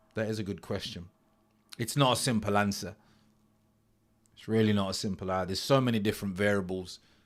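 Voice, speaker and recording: Very fast male speech at a fairly low pitch, fairly even in intonation, broken by long, frequent pauses, on a very clean recording with a silent background. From English Midlands, Nottingham. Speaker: futures trader, ex-footballer streamer. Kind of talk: live stream chat with viewers. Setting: live stream.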